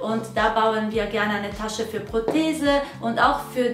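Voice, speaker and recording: A woman speaks at a very slow pace with ordinary pitch variation. Audible room echo surrounds her voice, with faint music in the background. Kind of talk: channel introduction talk. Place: workshop.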